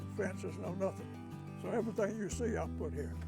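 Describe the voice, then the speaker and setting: Music plays in the background as a man speaks. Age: 80s+. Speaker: regenerative cattle farmer. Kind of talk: interview answer.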